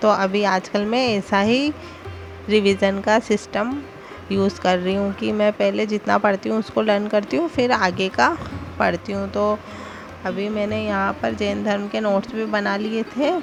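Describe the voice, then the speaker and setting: Music plays behind this woman. Her pace is fairly slow. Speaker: vlogger, housewife studying for exams. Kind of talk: casual vlog narration.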